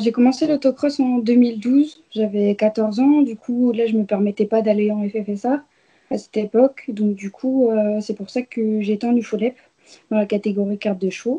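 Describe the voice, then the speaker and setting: A woman with a fairly high pitch and a dark, mellow, somewhat breathy tone speaks with fairly even intonation in a dry, close sound with no echo. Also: moderate pace. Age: 20s. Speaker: racing driver. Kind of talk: interview. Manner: hesitant, many fillers.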